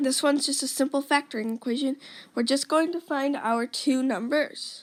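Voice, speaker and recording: Fairly even intonation carries the words along at a fairly quick speed. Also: woman. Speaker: math tutor. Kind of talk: tutorial. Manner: casual, with fillers and self-corrections.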